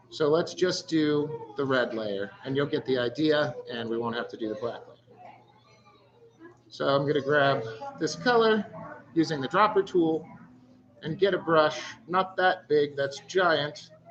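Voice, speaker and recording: A man speaks at a fairly slow pace with a fairly high pitch and lively intonation, leaving long, frequent pauses. His loudness swings widely, and there is noticeable background noise. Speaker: stencil artist teaching a workshop. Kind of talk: tutorial. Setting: live-streamed workshop in a store.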